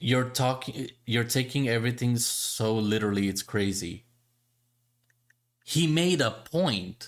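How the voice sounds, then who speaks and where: At a fairly slow pace with long, frequent pauses, a man with a non-native accent talks at a medium pitch, with ordinary pitch variation and very even loudness. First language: not English. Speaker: gaming podcast host. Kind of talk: casual chat reacting to a video. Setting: live stream. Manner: animated.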